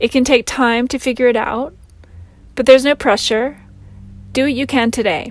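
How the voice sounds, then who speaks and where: A woman speaks at a high pitch and moderate pace, with fairly even intonation. Long, frequent pauses break her speech as music plays in the background. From Louisiana, USA. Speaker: meditation guide. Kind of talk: guided meditation.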